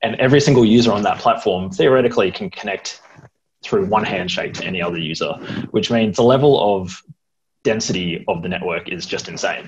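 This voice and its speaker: Over light background noise, a man talks fairly quickly with an Australian accent. His intonation is lively. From Sydney and NSW south coast. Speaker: computer science student. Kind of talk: presentation. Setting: video call. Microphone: earbuds.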